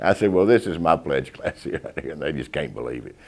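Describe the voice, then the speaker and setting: Vocal fry runs through a man's very deep, low-pitched voice as he talks. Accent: American. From Texas. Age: 60s. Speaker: fraternity alumnus. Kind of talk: interview testimony. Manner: halting.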